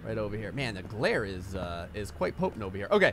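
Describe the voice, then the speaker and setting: Moderate pace and an American accent, with noticeable background noise. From New Jersey. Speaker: gaming YouTuber. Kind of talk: gameplay commentary. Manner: casual, conversational.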